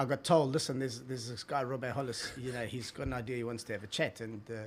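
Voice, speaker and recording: A man talks at a very fast pace with a strong South African accent. His pitch is medium and his intonation fairly even. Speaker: TV executive. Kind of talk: casual interview. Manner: halting, many repetitions.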